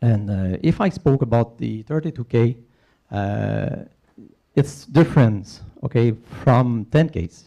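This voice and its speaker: Someone with a non-native accent speaks at a fairly slow pace in a dark, mellow tone, with ordinary pitch variation. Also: man. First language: not English. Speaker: open water race director. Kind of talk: conference talk. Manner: halting, many fillers.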